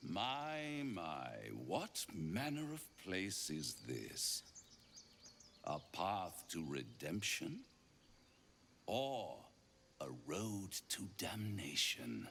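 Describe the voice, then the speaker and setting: A put-on character voice moves very slowly with long, frequent pauses and very wide pitch swings. The tone is theatrical, and background noise is clearly audible. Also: man, fairly low pitch for a man. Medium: video game. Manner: theatrical, silky, mocking.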